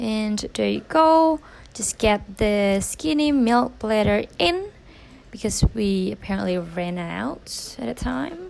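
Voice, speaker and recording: The pace is very slow. This woman talks with a non-native accent. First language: not English. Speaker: barista vlogger. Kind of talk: voiceover commentary. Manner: hesitant, many ums.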